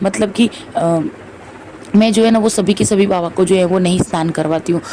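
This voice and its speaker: Over noticeable background noise, a woman speaks at a medium pitch with very even loudness. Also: fairly even intonation. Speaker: devotional vlogger. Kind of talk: vlog voice-over. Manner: filler-heavy, repetitive.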